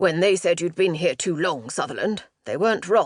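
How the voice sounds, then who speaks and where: A woman's growling, put-on character voice in an English accent, medium in pitch at a moderate pace. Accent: English, posh. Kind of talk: public school, polished.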